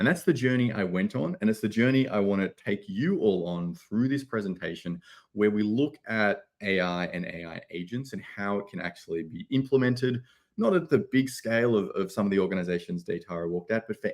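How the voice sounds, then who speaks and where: Against a quiet background, a man with an Australian accent speaks at a fairly low pitch and a fairly quick pace. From Australia, Sydney. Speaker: tech company CEO presenting at a conference. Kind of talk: conference presentation. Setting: conference stage.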